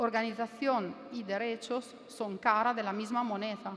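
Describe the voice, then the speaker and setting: Her accent is Italian. This woman's voice sits fairly high in pitch. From Italy. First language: Italian (speaking Spanish). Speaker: law professor. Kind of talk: academic panel talk. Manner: hesitant, with fillers.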